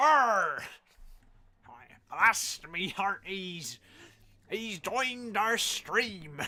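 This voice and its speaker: This put-on character voice sounds female and sits fairly high in pitch. She talks very slowly, with long, frequent pauses. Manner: playful mock pirate talk.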